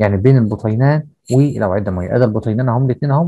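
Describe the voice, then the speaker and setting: With an Egyptian accent, a man talks very fast at medium pitch with ordinary pitch variation. His tone is dark and mellow, the sound dry with no echo over a quiet background. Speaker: teacher. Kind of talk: lecture. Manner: explanatory, repetitive with filler checks. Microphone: video call.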